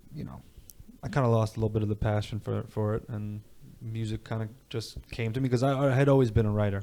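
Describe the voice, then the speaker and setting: This man talks at a very fast pace in a New York accent. His tone is dark and mellow, with fairly even intonation. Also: medium pitch for a man. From New York (Canarsie, Brooklyn and Long Island). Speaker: rapper. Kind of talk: podcast interview. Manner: casual, with many fillers.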